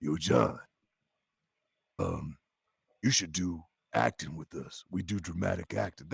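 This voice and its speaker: A man uses a put-on character voice at a very deep, low pitch. He goes at a fairly slow pace with long, frequent pauses. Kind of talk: casual, slangy. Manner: imitating a friend's way of talking.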